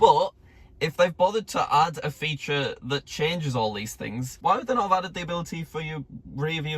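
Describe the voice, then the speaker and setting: Noticeable background noise sits behind a man's fairly high voice. He sounds animated, with lively intonation. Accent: Northern English. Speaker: YouTuber testing car features. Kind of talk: casual video commentary.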